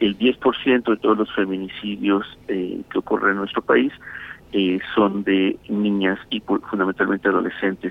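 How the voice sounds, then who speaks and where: This man has an ordinary speaking voice. He talks at a fairly slow pace with a fairly low pitch. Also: fairly even intonation. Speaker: children's rights advocate. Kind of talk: interview.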